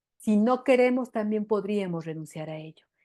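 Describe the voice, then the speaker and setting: A woman talks at a moderate pace, her pitch varying in an ordinary way, against a quiet background. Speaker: women's empowerment coach. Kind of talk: online workshop talk. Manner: hesitant fillers.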